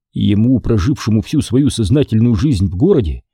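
Lively intonation in an unforced reading voice.

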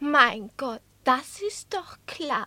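In a put-on character voice, a woman speaks very slowly with a bright, sharp tone, high pitch and big pitch swings.

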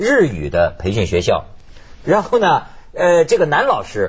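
At a moderate pace, a man with a fairly high pitch speaks with very wide pitch swings.

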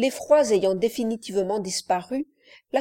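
Over a quiet background, someone reads in an unforced reading voice.

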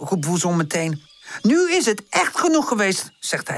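Heard here is a natural reading voice.

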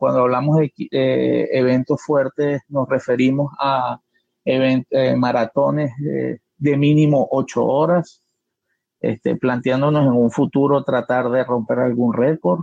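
Very slow and very even in loudness, a man speaks with fairly even intonation. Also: medium pitch for a man. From Caracas, Venezuela. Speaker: university professor and systems engineer. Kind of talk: live online panel discussion.

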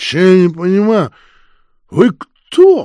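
In a put-on character voice, a female-sounding speaker talks at a fairly slow pace and a medium pitch for a woman. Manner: slurred, confused.

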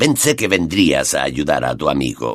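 A man puts on a character voice that is raspy and hoarse, pitched very deep and low. He talks at a moderate pace. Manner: menacing, taunting.

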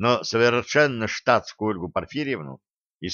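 Plain reading aloud with ordinary pitch variation, in front of a quiet background.

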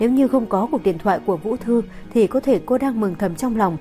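The pitch varies in an ordinary way. It is an unforced reading voice.

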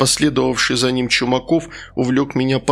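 Text is being read aloud here. The delivery comes in a natural voice.

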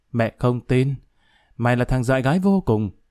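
The clip is plain reading aloud delivered with lively intonation.

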